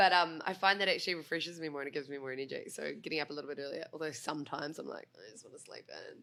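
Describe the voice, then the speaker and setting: Talking at a very fast pace with hardly any pauses, a woman with a New Zealand accent swings widely in loudness. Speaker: breakfast radio co-host. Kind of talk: casual chat.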